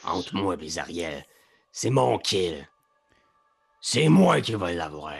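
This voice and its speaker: In a put-on character voice, a man speaks very slowly in a raspy, very deep, low register, with long, frequent pauses. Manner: menacing, pointing and staking a claim.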